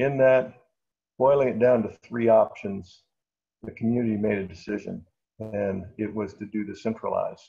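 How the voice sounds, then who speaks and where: Somewhat breathy and dark, mellow in tone, a man speaks at a fairly low pitch and a fairly slow pace with fairly even intonation. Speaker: architect presenting a museum project. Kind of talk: webinar presentation.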